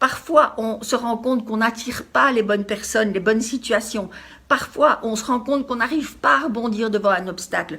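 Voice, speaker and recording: A woman with ordinary pitch variation talks at a moderate pace in a normal speaking voice. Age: 60s. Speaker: life coach. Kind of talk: motivational talk.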